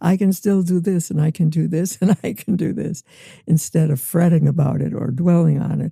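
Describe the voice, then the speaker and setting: With an American accent, a woman with a fairly low pitch speaks at a moderate pace, the sound dry and close with no echo despite noticeable background noise. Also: ordinary pitch variation. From US Midwest. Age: 90s. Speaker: retired teacher. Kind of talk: interview answer.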